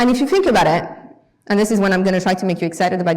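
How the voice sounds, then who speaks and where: In a French accent, a woman speaks at a medium pitch with ordinary pitch variation, and there is audible room echo. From France. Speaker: guest lecturer. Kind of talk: lecture. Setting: lecture hall with audience.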